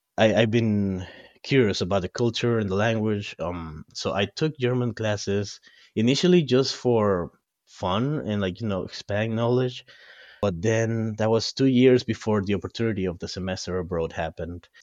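A man speaks with a Spanish accent. His pitch is fairly low, with ordinary pitch variation. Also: moderate pace. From Ecuador (coastal). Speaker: guest, expat. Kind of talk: casual interview chat.

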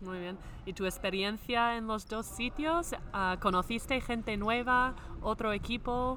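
Speaking with an English accent, a woman talks at a fairly high pitch and a fairly slow pace. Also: ordinary pitch variation. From US Midwest, Minnesota. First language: English (speaking Spanish). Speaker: podcast host, former basketball player. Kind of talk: scripted narration; interview. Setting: on location in a sports venue.

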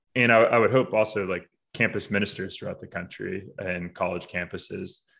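A man speaks at a fairly quick pace with lively intonation, vocal fry and a bright, sharp tone. The background is quiet. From Boston area, Massachusetts. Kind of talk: interview conversation.

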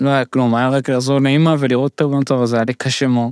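On a very clean recording with a silent background, a man at a medium pitch talks at a fairly quick pace, the sound dry and close with no echo. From immigrant to Israel. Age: 30s. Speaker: stand-up comedian living with Huntington's disease. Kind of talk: podcast interview, personal story.

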